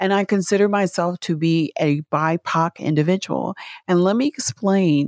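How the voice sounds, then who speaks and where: A woman's fairly low-pitched, plain, everyday voice with an American accent, at a moderate pace, with very even loudness, ordinary pitch variation and a dry, close sound with no echo. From US Midwest, Alton and St. Louis. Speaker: podcast co-partner. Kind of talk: casual chat.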